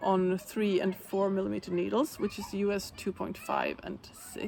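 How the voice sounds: A woman talks at a moderate pace with a medium pitch and ordinary pitch variation. Vocal fry runs through her voice.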